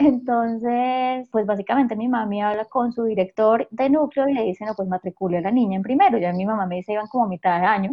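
A fairly high-pitched woman's voice at a very fast pace, with ordinary pitch variation and hardly any pauses. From Colombia, Huila. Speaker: communications professional. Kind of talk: interview conversation.

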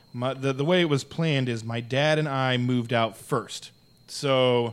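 A man's plain, everyday voice with an American accent, medium pitch and ordinary pitch variation. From Arizona. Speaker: podcast co-host. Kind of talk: casual chat.

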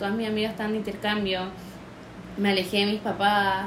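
A woman with a Chilean accent and a fairly high pitch talks at a very fast pace, with audible room echo and noticeable background noise. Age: young. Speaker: abuse survivor. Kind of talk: testimony.

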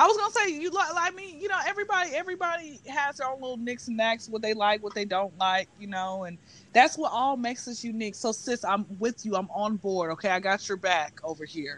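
Against noticeable background noise, the speech comes at a fairly quick pace with hardly any pauses and very wide pitch swings. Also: woman, fairly high pitch for a woman. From Atlanta, US South. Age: 20s. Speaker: podcast guest. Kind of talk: casual chat.

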